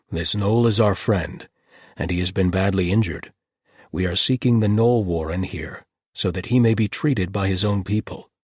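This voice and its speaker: Putting on a character voice, a man speaks at a moderate pace in a fairly low pitch with ordinary pitch variation. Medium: read story. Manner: calm and gentle.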